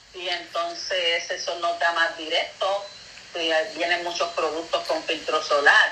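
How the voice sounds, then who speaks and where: This woman talks at a fairly slow pace, her voice carrying audible room echo over noticeable background noise. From Puerto Rico. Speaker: beauty products consultant. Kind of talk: casual interview.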